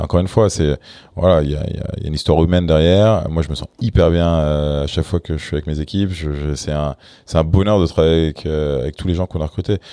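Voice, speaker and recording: Very deep and low in pitch, a man speaks at a very fast pace with fairly even intonation. His tone is dark and mellow. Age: 30s. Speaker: startup founder. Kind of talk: interview. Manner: halting.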